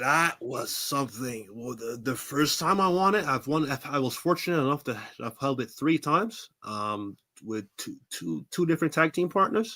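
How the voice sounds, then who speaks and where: A man's fairly high, bright and sharp voice with an American accent, lively intonation and a moderate pace. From Brooklyn, New York. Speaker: professional wrestler. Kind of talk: interview. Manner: halting.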